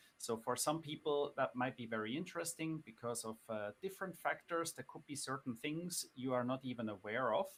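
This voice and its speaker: A man with a non-native accent talks at a fairly quick pace with hardly any pauses, a medium pitch and ordinary pitch variation. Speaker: finance guest on podcast livestream. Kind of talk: live-streamed conversation. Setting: live stream. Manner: hesitant, many fillers.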